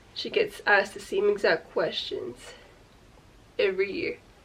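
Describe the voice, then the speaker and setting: A woman talks over noticeable background noise. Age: 20s. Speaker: YouTuber. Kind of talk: casual vlog talk to camera. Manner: casual, filler-heavy.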